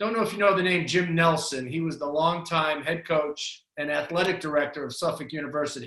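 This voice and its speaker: A man with a Boston accent speaks at a high pitch in a bright, sharp tone. His pace is moderate and his pitch variation ordinary. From Boston, Massachusetts. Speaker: basketball coach. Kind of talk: interview.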